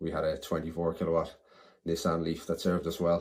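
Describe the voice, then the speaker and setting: The recording is very clean, with a silent background. A man speaks in a very deep, low voice. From Ireland, Dublin (Clondalkin). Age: 40s. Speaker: committee candidate, EV enthusiast. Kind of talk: candidate self-introduction video.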